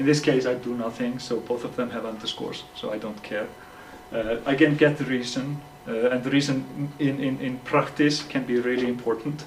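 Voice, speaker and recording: Amid noticeable background noise and audible room echo, a man at medium pitch talks at a moderate pace with monotone, flat intonation. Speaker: software developer. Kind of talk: tech talk. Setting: meetup with audience. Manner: halting, many repetitions.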